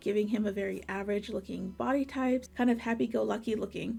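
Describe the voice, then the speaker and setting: A woman speaks with a fairly high pitch and fairly even intonation. Music plays in the background. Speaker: webcomic artist. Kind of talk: drawing tutorial. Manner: rambly, filler-heavy.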